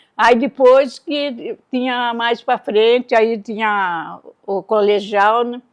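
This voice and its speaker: Very slow and fairly high-pitched, a woman speaks with ordinary pitch variation in a dry, close sound with no echo and a quiet background. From Brazil, São Paulo state interior (Americana). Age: 80s+. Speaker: interviewee, grandmother. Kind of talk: casual interview.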